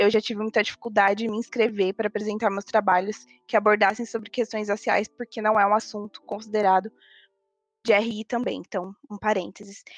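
Music plays behind a woman with a fairly high pitch who speaks fairly quickly in a flat, monotone way, in a dry, close recording with no echo. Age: 20s. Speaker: university student. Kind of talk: casual discussion panel.

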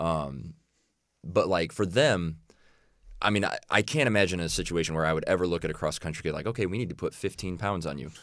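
In a very clean recording with a silent background, a man with a very deep, low pitch and an American accent talks at a very fast pace with ordinary pitch variation. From Illinois. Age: 20s. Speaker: college strength and conditioning coach. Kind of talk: podcast interview.

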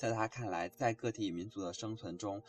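Somewhat breathy and fairly low in pitch, a man speaks at a fairly quick pace with ordinary pitch variation. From China. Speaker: student radio book show co-host. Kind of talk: book discussion.

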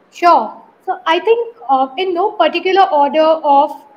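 A woman speaks at an extremely high pitch with ordinary pitch variation. Noticeable background noise runs underneath. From South India. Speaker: marketing agency founder. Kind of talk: interview.

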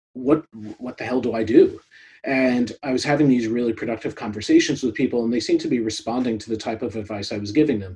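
Talking very fast, a man with an American accent has a dark, mellow, somewhat breathy voice at medium pitch, his intonation fairly even. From New York, US. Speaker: product consultant and podcast host. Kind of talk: interview conversation. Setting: video call.

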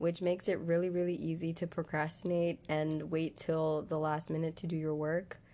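With an American accent, a woman speaks in a normal speaking voice, pitched fairly low. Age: young. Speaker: college student. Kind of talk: interview answers.

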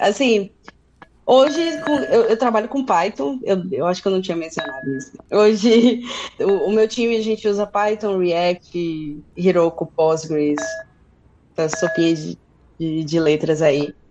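Amid noticeable background noise, a woman at medium pitch speaks fairly slowly with lively intonation. She takes long, frequent pauses. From Brazil, interior of Bahia (Feira de Santana). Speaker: software developer. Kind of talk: casual tech conversation. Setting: live stream.

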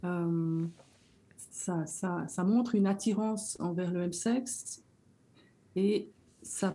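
A woman's somewhat breathy voice, dark and mellow in tone, with fairly even intonation. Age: 60s. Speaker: educator. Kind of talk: personal testimony.

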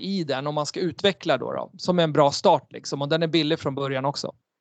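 Against a quiet background, a man with a fairly high pitch speaks in a plain, everyday voice with ordinary pitch variation and a dry, close sound with no echo. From Sweden. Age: 40s. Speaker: entrepreneur and author. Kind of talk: interview. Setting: video call.

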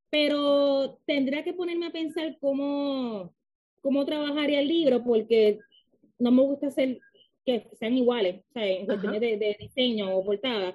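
A woman speaks with a Puerto Rican accent at a high pitch. Her pace is fairly slow and her intonation lively. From Puerto Rico. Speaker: author. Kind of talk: interview.

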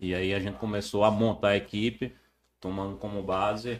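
In a normal speaking voice, a man talks at a fairly quick pace and a fairly low pitch, with fairly even intonation. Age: 30s. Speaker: former football club executive. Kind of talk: casual interview.

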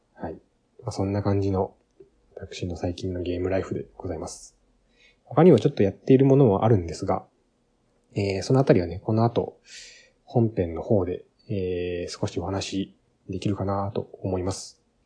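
At a moderate pace, a man with a fairly low pitch and a dark, mellow, somewhat breathy tone speaks with ordinary pitch variation, big swings in loudness and long, frequent pauses. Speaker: game podcast host. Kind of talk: casual solo talk.

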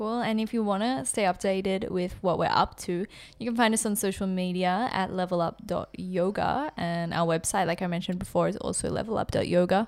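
A normal speaking voice at a fairly quick pace with hardly any pauses, in a very clean recording over a silent background. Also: woman, medium pitch for a woman, ordinary pitch variation. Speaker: yoga teacher and podcast co-host. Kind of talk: casual podcast conversation.

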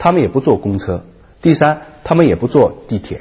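An animated man's voice, fairly high-pitched with vocal fry, very wide pitch swings and a fairly quick pace. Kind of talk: talk show discussion.

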